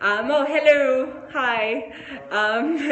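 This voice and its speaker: A woman with an Australian accent speaks with lively intonation amid audible room echo and noticeable background noise. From Australia, Sydney. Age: 20s. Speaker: show presenter. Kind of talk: casual group discussion.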